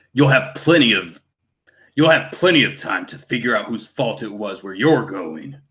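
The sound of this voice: In a put-on character voice, the speaker takes a menacing tone at a moderate pace. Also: man, medium pitch for a man.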